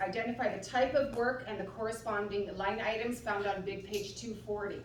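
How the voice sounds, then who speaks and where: Speaking at a fairly quick pace with fairly even intonation, a woman with a fairly high pitch is heard over noticeable background noise and audible room echo. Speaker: city procurement staff. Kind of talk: procedural briefing. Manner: loud. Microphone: no microphone.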